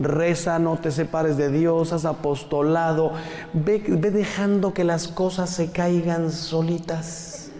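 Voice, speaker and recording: A high-pitched man talks at a very slow pace amid noticeable background noise and audible room echo. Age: 50s. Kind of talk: talk to a live audience. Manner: animated.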